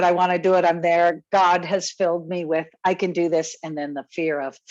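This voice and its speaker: A woman talks at a moderate pace in an ordinary speaking voice. Her pitch is medium. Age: 60s. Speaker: program participant and new coach. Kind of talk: personal sharing on group call.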